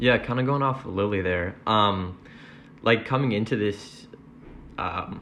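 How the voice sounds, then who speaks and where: A man with an unremarkable speaking voice talks at a moderate pace, fairly low in pitch and with fairly even intonation. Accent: American. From Wisconsin, US Midwest. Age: young. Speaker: college freshman. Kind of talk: testimony.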